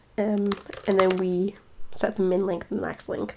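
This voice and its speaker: A woman's voice over noticeable background noise. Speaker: computer science teacher. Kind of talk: coding tutorial walkthrough.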